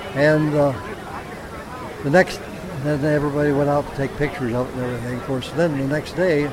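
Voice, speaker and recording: Noticeable background noise runs under this recording. A man speaks with a fairly high pitch. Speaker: World War II veteran. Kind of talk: interview, anecdote. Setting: outdoors. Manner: animated.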